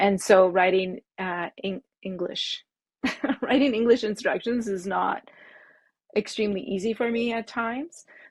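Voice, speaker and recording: A woman with a French accent, medium pitch and ordinary pitch variation at a fairly slow pace, dry and close with no echo, on a very clean recording with a silent background. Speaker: bag pattern designer. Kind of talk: interview. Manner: halting.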